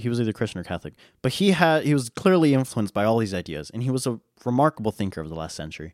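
In a very clean, silent recording with a dry, close sound and no echo, a man with an American accent speaks very fast in an animated tone with very wide pitch swings. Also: medium pitch for a man. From western United States. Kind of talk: solo teaching monologue. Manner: animated, casual, with frequent laughs and fillers.

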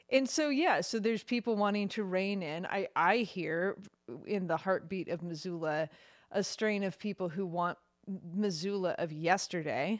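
A woman's medium-pitched, normal speaking voice at a moderate pace, ordinary pitch variation, on a very clean recording with a silent background. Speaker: co-host and guest. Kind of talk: casual chat about news.

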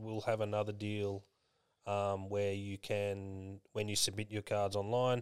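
The recording is very clean with a silent background, and the man talking has an Australian accent. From Victoria, Australia. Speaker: general manager, co-host.

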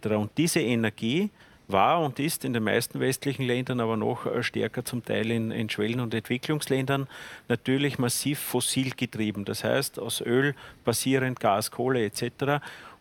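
A man speaks at a moderate pace with fairly even intonation and medium pitch, an unremarkable speaking voice. The sound is dry and close, with no echo. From Lower Austria. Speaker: politician. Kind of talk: panel debate.

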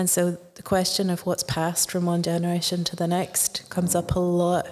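The speaker has a Northern Irish accent and a moderate pace. Noticeable background noise sits behind the voice. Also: woman. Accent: Northern Irish (Ulster). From Northern Ireland. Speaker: novelist. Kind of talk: interview. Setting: festival radio studio.

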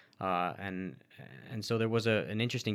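At a moderate pace, a man with an ordinary speaking voice talks with fairly even intonation in a very clean recording with a silent background. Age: 30s. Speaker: sociology researcher. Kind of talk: interview.

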